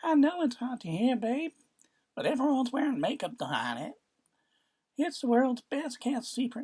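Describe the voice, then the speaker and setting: Putting on a character voice, a woman talks at a moderate pace in a high pitch, leaving long, frequent pauses. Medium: read story. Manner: light, sugary, falsely affectionate.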